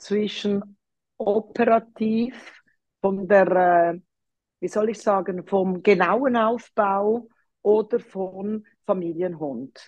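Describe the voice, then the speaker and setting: Speaking very slowly, a woman uses a medium pitch. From Switzerland, Zurich. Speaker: dog trainer. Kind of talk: interview.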